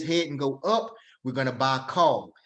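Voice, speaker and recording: A man's voice with lively intonation at a moderate pace. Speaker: trading instructor. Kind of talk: online class lecture. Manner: loud.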